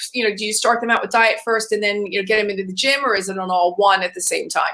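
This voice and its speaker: A woman talks very fast while noticeable background noise plays behind her. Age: 60s. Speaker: talk show host. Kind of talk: interview. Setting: on location in Los Angeles, not the studio. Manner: casual, rambling.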